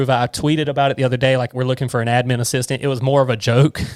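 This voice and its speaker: Recorded very cleanly against a silent background, a man with a Southern US accent speaks in a medium pitch, the sound dry and close with no echo. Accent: Southern US twang. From US South, Georgia (near Savannah). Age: 20s. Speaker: accountant, firm owner. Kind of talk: casual podcast interview.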